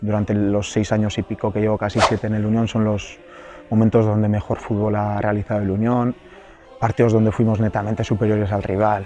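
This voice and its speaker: Over noticeable background noise, a man talks at a fairly quick pace and fairly low pitch in a monotone, flat intonation. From Gipuzkoa, Basque Country, Spain. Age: 30s. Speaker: professional footballer. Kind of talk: interview answer.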